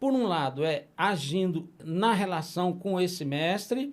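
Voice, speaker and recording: Lively intonation in a very clean recording with a silent background. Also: man. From Brasília, Brazil. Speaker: puppeteer and popular culture master. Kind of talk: interview conversation.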